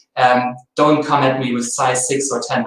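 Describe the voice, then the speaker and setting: A German accent with audible room echo. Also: man. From Germany. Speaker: translation and localization specialist. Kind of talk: webinar presentation. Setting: webinar.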